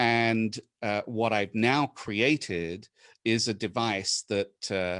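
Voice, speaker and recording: A man with a British accent speaks at a very slow pace, medium in pitch, with fairly even intonation against a quiet background. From England. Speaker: inventor and presenter. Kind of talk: webinar presentation. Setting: video call. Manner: hesitant, many fillers.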